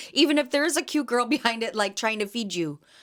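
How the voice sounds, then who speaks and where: A loud woman speaks at a fairly quick pace in an animated tone with lively intonation, on a very clean recording with a silent background. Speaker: podcast host and jam vendor. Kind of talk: casual solo podcast chat.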